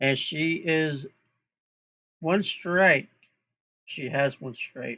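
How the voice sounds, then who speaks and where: The tone is bright and sharp, with ordinary pitch variation. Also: man. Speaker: amateur sports commentator. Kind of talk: live play-by-play commentary. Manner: loud; casual, halting with self-corrections.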